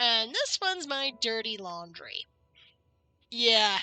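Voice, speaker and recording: Music plays in the background as a woman speaks at a very slow pace. Her pitch is high. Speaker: video game streamer. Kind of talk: live gameplay stream chat. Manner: casual, reads game text aloud.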